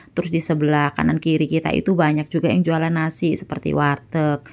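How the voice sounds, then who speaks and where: On a very clean recording with a silent background, a woman speaks at a fairly quick pace in a very deep, low voice. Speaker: housewife cooking vlogger. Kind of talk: casual vlog voiceover. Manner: chatty.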